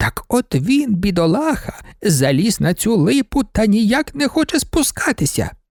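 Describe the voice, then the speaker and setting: A man does a put-on character voice, high for a man, with very wide pitch swings. He keeps a moderate pace with hardly any pauses. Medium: read story. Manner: chatty, rambling, gently pleading.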